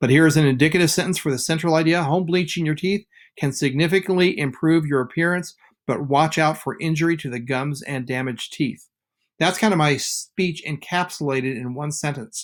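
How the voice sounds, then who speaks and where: A plain, everyday voice from a man, fairly high in pitch, with ordinary pitch variation, a fairly quick pace, and a very clean recording with a silent background. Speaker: teacher. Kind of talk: lecture.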